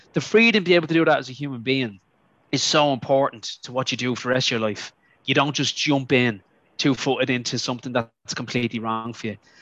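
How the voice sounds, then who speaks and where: A man with an Irish accent and a medium-pitched voice talks at a very fast pace with ordinary pitch variation. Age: 40s. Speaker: university chaplain. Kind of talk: casual chat.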